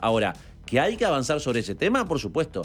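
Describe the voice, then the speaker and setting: With music in the background, a man's pitch swings very widely as he talks. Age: 40s. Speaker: politician. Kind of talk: radio interview. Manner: halting, with fillers and repetitions.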